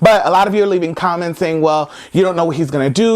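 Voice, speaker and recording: A loud man with an American accent speaks in an animated tone at a high pitch. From United States. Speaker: comedy vlogger. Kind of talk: comedic rant to camera. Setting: friend's house.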